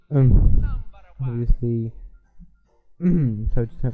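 A man's medium-pitched voice, monotone and flat, at a very slow pace over music in the background. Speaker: gaming youtuber. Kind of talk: gameplay commentary.

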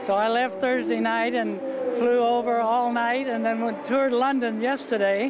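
Noticeable background noise sits behind a man talking at a moderate pace. The recording is dry, with no echo. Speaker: war veteran. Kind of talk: interview answer. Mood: warm, friendly, reflective. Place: hall. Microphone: handheld.

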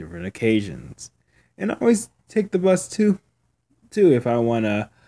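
The man's voice has a dark, mellow tone. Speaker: vlogger. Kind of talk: casual vlog chat. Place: street. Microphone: phone near.

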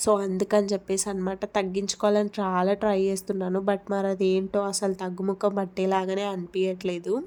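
This woman's voice sits at a medium pitch, with a dark, mellow tone and monotone, flat intonation. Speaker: lifestyle vlogger. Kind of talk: casual vlog narration. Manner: chatty, conversational.

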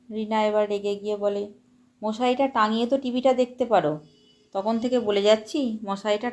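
This is plain reading aloud. The intonation is fairly even.

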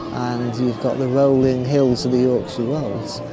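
A man's voice, dry and without echo, with music in the background. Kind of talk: casual vlog chat. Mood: cheerful, relaxed. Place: waterside. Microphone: phone near.

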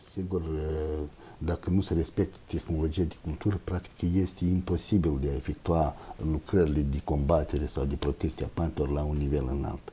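Using fairly even intonation, a man with a very deep, low voice speaks at a moderate pace. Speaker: plant protection researcher; guest. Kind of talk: expert interview. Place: studio.

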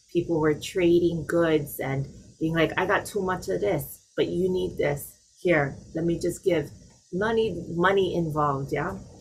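A woman speaks at a fairly low pitch and a fairly slow pace, with a Hawaiian accent. Her voice has vocal fry and ordinary pitch variation. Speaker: nonprofit organization leader. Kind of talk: panel discussion. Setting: video call.

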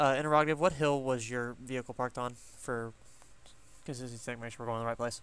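A man talks at a very fast pace with fairly even intonation. The sound is dry, with no echo. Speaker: gaming squad leader. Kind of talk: tactical game comms. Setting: online voice chat. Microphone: headset.

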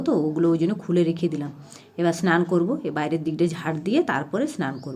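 With an ordinary speaking voice, a woman talks at a fairly low pitch. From Purulia district, West Bengal, India. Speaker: village housewife vlogger. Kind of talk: casual vlog narration.

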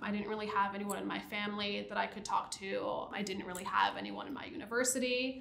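With an American accent, the speaker talks at a very fast pace with hardly any pauses, over light background noise and audible room echo. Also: woman. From US Northeast, New Jersey Shore; New Jersey. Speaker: site reliability engineer; interviewee. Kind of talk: interview. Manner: casual, many fillers. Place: studio. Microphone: lapel.

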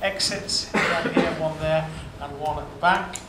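Loud background noise behind a man talking at a fairly slow pace. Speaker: university official introducing lecture. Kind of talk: formal introductory speech. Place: hall. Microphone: podium.

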